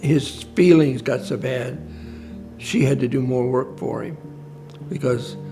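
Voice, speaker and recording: Music plays in the background while a man with a medium pitch speaks at a fairly slow pace. His intonation is lively, and he leaves long, frequent pauses. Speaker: father of late client. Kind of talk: interview answer.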